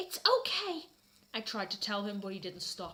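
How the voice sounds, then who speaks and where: This woman's pitch swings very widely. Noticeable background noise runs behind her. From British. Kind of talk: dramatic reading.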